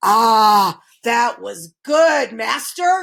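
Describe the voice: A bellowing, put-on character voice. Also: woman.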